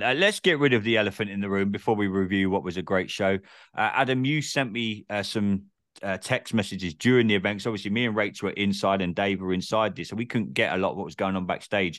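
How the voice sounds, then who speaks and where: A man speaks in an English accent. His pace is very fast. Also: fairly low pitch for a man, ordinary pitch variation. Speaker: podcast host. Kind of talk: casual chat.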